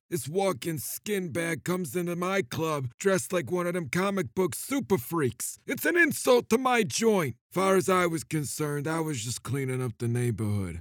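A man does a put-on character voice at a high pitch. He keeps a moderate pace with hardly any pauses. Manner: gloating, menacing, self-pitying.

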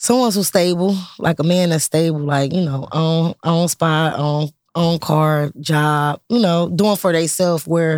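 A man speaks at a moderate pace with fairly high pitch and fairly even intonation. The sound is dry and close with no echo, on a very clean recording with a silent background. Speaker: guest co-host. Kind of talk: casual chat.

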